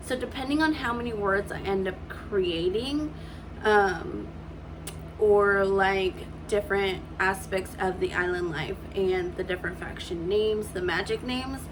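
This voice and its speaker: Audible room echo and noticeable background noise surround a voice with ordinary pitch variation at a fairly slow pace. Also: woman, medium pitch for a woman. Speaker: writing vlogger. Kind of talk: casual vlog talk. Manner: halting, stumbling over words.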